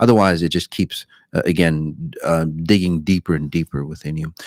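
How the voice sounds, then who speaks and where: There is no echo on this man's voice, which sounds dry and close. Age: 60s. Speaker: spiritual self-help teacher. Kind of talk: live stream talk with viewer questions. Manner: halting, many fillers and repetitions.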